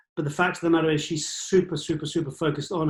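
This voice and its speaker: Fairly high-pitched, a man talks in an English accent. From England. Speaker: cinematographer. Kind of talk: interview answer. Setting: online call.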